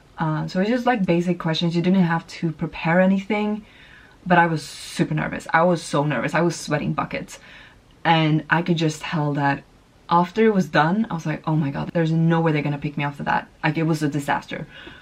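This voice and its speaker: In a Swedish accent, a woman speaks at a fairly quick pace with a fairly low pitch. Her pitch varies in an ordinary way. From Sweden. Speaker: vlogger. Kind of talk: casual chat.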